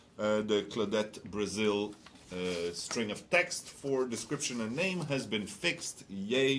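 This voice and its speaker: With an unremarkable speaking voice, a man talks at a fairly slow pace and a medium pitch. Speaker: game studio livestream host. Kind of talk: casual livestream chat.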